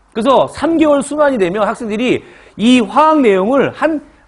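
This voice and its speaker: A loud man's voice at an extremely high pitch. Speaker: chemistry lecturer for civil service exam prep. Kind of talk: lecture. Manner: fast.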